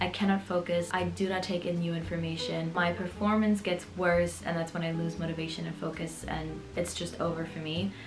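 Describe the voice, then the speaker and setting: Noticeable background noise runs under a woman's voice. She talks at a fairly quick pace with hardly any pauses. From Berlin, Germany. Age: 20s. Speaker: dental student. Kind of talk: casual talk to camera. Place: home room.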